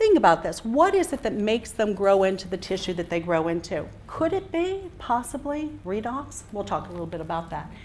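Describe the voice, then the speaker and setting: With an American accent, a woman speaks at a fairly quick pace with very wide pitch swings as room echo is audible. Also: medium pitch for a woman, hardly any pauses. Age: 40s. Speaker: physician and speaker. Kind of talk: talk to a live audience. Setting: stage with audience.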